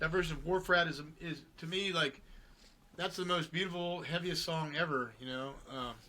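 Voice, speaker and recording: A man's high-pitched voice in a bright, sharp tone. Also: fairly even intonation, moderate pace. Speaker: rock musician. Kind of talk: casual chat. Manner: mumbling.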